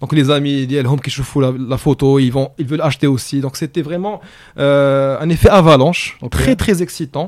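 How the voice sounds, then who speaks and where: This man, with an unremarkable speaking voice, speaks at a moderate pace with a fairly high pitch and fairly even intonation. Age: young. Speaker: entrepreneur. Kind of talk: casual chat.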